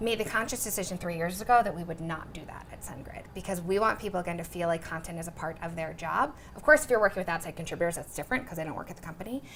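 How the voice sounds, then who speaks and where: Amid noticeable background noise, a woman with a fairly low pitch and ordinary pitch variation speaks at a very fast pace in an energetic tone, with hardly any pauses and big swings in loudness. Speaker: content marketing director. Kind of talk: interview Q&A. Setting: room with live audience. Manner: fast, energetic.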